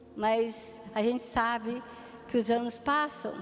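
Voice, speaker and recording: Against noticeable background noise and audible room echo, a woman with a fairly high pitch speaks at a very slow pace. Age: 60s. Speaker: pastor. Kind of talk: sermon.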